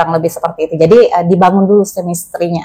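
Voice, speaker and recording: Fairly quick and fairly even in intonation, an unremarkable speaking voice carries the speech. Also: woman. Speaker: wedding and event MC. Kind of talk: interview conversation.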